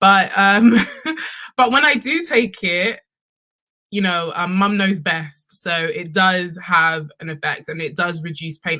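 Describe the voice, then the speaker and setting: A woman speaks with lively intonation, a bright, sharp tone and a fairly low pitch. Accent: London. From London, UK. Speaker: sex and relationships content creator. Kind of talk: panel discussion.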